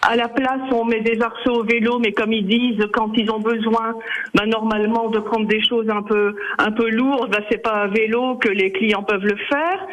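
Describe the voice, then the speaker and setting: Over noticeable background noise, a man with a high pitch speaks at a moderate pace with fairly even intonation and very even loudness. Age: 70s. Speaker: radio caller. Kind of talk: call-in radio comment.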